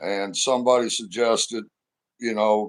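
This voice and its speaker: The speaker has a Midwestern US accent and a fairly even intonation. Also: man. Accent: US Midwest. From St. Louis area, Missouri. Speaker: interview guest, former roofer. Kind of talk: casual interview chat.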